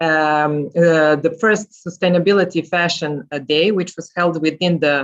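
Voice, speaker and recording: The speaker has a Serbian accent and talks at a fairly slow pace. There are hardly any pauses. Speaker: journalist and podcast host. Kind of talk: panel talk. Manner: halting.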